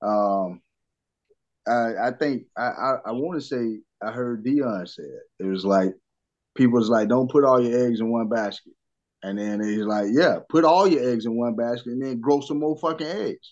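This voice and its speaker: At a moderate pace, a man talks in a normal speaking voice with medium pitch and ordinary pitch variation. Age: 30s. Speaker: former basketball player, sports podcaster. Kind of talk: casual chat.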